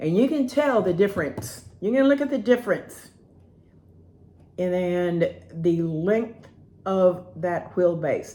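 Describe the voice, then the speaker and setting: At a fairly slow pace, a woman speaks at a medium pitch with very wide pitch swings. Her tone is dark and mellow. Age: 60s. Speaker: roller skating hobbyist reviewer. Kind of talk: product review. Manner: casual, rambling with hesitations.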